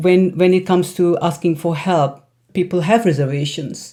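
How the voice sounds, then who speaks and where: A woman with an Indian accent talks at a fairly slow pace in a fairly low voice. Her tone is dark and mellow, and her intonation stays fairly even. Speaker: psychiatrist and wellness coach. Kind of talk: casual talk to camera. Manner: halting, many fillers.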